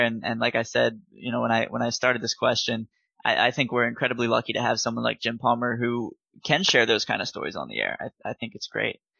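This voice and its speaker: A man talks at a very fast pace in a medium pitch, with vocal fry. His intonation is monotone and flat. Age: 20s. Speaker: podcast host. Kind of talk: interview.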